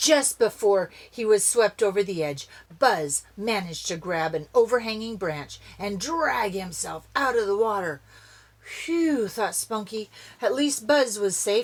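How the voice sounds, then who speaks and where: A woman speaks in a dramatic tone at a fairly slow pace with very wide pitch swings. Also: medium pitch for a woman. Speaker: grandmother reading to kids. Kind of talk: storybook narration. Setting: inside a camper. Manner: expressive, dramatic.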